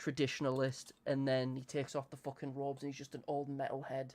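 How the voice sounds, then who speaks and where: Here a man speaks with an English accent at a medium pitch. His intonation is monotone and flat. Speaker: streamer. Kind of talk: casual chat. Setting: live stream. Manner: fast.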